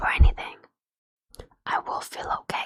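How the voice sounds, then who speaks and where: Someone whispers with a non-native accent. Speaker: streamer. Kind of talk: casual chat. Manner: whispering. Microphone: too quiet.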